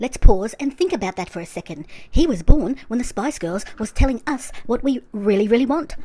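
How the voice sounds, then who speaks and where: A woman talks at a fairly quick pace with hardly any pauses, in an Australian accent and a high pitch. Her tone is dark and mellow, her pitch swings very widely, and her loudness rises and falls sharply. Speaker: YouTube commentator. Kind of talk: commentary review monologue. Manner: fast, sped-up playback.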